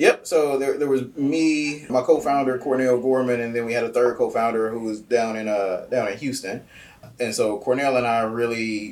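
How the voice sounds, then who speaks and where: With an American accent, a man speaks in an ordinary speaking voice at medium pitch, moderate pace and fairly even intonation. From Kansas City, Missouri (US Midwest). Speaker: nonprofit founder and army veteran. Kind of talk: interview.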